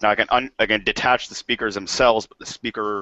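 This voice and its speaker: A man with an ordinary speaking voice, fairly low in pitch, with fairly even intonation. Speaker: arcade collector, panel regular. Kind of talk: casual chat. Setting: video call.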